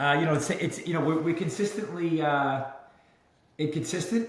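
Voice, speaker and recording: In a New York accent, a man with a fairly high pitch talks at a fairly quick pace, with audible room echo and noticeable background noise. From Brooklyn, New York. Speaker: mortgage lender and real estate entrepreneur. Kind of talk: podcast interview. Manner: hesitant, many fillers.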